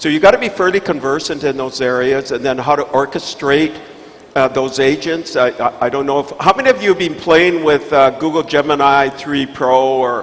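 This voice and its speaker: A man's fairly high voice at a moderate pace, ordinary pitch variation, noticeable background noise. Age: 70s. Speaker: investor and tech keynote speaker. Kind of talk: panel discussion answer. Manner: halting, repeats words.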